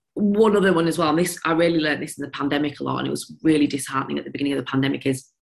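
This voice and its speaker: Very fast and very deep, a woman with a Yorkshire accent talks with vocal fry and ordinary pitch variation. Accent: broad Yorkshire. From Yorkshire, England. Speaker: business founder, former teacher. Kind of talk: casual interview chat.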